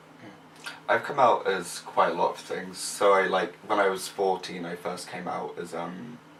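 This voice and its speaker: Over noticeable background noise, a man with a very deep, low pitch speaks with big swings in loudness. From Somerset, south-west England. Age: young. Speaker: university student. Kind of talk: casual chat.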